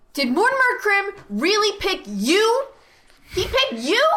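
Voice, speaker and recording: Using a put-on character voice, a woman talks at a fairly slow pace with extremely high pitch. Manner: gruff, contemptuous, intimidating.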